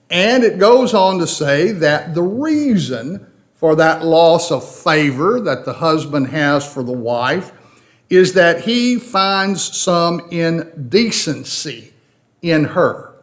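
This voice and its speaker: With a slight Tennessee accent, a high-voiced man speaks at a very slow pace with lively intonation as the room echo is audible. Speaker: Bible class teacher. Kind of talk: Bible study lecture.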